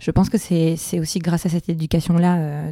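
A woman with a fairly low pitch and a dark, mellow tone speaks in a dry, close sound with no echo on a very clean recording with a silent background. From France, Basque Country (Biarritz). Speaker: dancer and choreographer. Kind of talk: casual interview.

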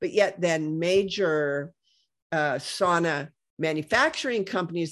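A woman in an ordinary speaking voice, fairly low in pitch with ordinary pitch variation, at a fairly slow pace against a quiet background. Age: 60s. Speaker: health products entrepreneur. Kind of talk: interview.

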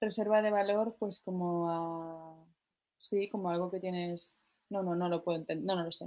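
A woman speaks with a medium pitch. Her intonation stays fairly even, and her pace is fairly slow. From Spain, Barcelona. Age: 30s. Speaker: singer. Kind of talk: interview.

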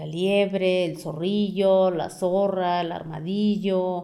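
Audible room echo surrounds a woman speaking at a very slow pace with a medium pitch and a dark, mellow tone. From Mexico, Amealco, Querétaro. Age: 30s. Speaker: community forest activist. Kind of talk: interview.

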